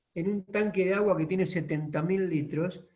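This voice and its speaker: A man talks at a fairly slow pace. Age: 60s. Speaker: equine therapy and social organization expert. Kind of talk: online masterclass talk.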